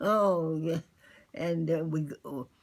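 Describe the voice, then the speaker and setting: A woman speaks at a very slow pace in a fairly low pitch. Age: 80s+. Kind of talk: interview answer. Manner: hesitant, slow.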